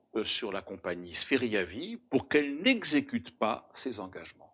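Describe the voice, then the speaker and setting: A man's bright, sharp voice in an Alsatian accent, fairly slow, with very wide pitch swings on a very clean recording with a silent background. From Alsace, France. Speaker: insurance broker, company founder. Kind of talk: prepared address to camera. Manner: formal.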